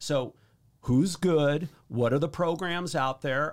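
A man with a fairly high pitch speaks in an unremarkable speaking voice. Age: 50s. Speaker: real estate agent. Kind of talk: interview.

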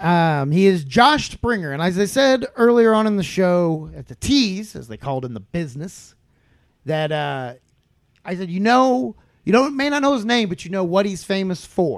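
A man's animated, high voice at a moderate pace, with very wide pitch swings, big swings in loudness, and a very clean recording with a silent background. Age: 30s. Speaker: podcast host and stand-up comedian. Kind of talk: casual chat.

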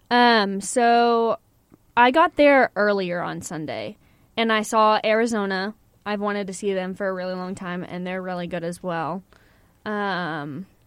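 On a very clean recording with a silent background, a woman with an unremarkable speaking voice talks fairly slowly at medium pitch, with ordinary pitch variation and big swings in loudness. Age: 20s. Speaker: college radio host. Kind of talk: casual chat. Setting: studio.

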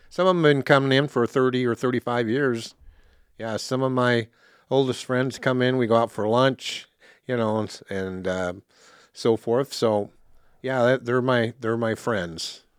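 With an unremarkable speaking voice, a man talks in a medium pitch with ordinary pitch variation, in a very clean recording with a silent background and a dry, close sound with no echo. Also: fairly slow pace. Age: 60s. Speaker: store owner. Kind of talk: casual interview.

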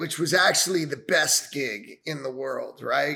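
With an American accent and an unremarkable speaking voice, a man talks at a moderate pace with ordinary pitch variation. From New York area (Westchester). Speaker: venture capitalist, Army veteran. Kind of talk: casual interview.

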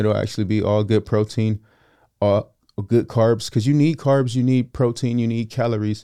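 A man with an American accent, medium pitch and a dark, mellow tone, fairly even intonation at a moderate pace, over a quiet background. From Southern California (San Fernando Valley). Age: 30s. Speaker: engineering student. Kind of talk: casual interview chat.

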